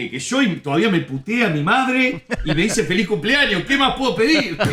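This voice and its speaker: A man shouts loudly with a Uruguayan accent, his pitch swinging very widely. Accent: Rioplatense Uruguayan Spanish. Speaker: comedian. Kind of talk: casual chat. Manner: loud, shouts a lot.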